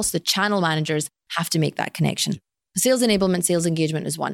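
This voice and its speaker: With a Glaswegian accent, a woman talks at a very fast pace in a fairly low pitch with ordinary pitch variation, the sound dry and close with no echo. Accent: Glaswegian Scottish. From Scotland, Glasgow. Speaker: sales executive. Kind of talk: interview. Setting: office boardroom.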